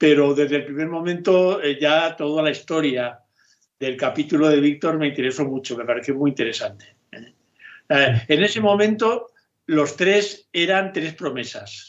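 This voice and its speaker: A man speaks in a normal speaking voice at a fairly slow pace, with fairly high pitch and ordinary pitch variation. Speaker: film director. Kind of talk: interview.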